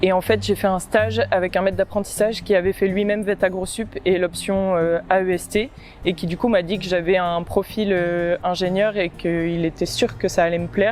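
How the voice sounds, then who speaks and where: A woman at a medium pitch and moderate pace, fairly even in intonation with hardly any pauses, over noticeable background noise. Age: 20s. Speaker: agricultural engineering apprentice student. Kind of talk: testimonial interview. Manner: hesitant, many fillers.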